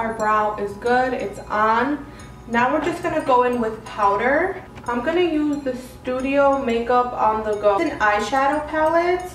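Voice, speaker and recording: Noticeable background noise sits behind a woman with an American accent and a high pitch. She talks at a fairly slow pace with ordinary pitch variation. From Chicago area, Illinois. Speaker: beauty YouTuber. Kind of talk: makeup tutorial talk to camera. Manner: casual.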